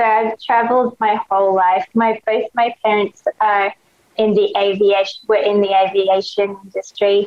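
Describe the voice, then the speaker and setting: With an Australian accent, a woman speaks at a fairly slow pace in a medium pitch and a monotone, flat intonation. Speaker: fashion blogger and clothing brand founder. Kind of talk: casual interview chat. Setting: video call. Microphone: crusty audio over video call.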